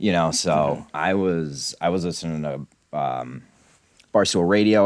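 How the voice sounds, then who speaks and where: Ordinary pitch movement in a male voice, captured in a very clean recording with a silent background. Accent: American. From Scranton, Pennsylvania. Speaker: podcaster, fan of the show's subject. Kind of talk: casual chat.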